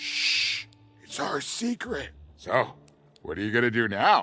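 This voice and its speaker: Faint music plays in the background as a man in a put-on character voice speaks fairly slowly at a fairly high pitch. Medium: video game. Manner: chatty, warm.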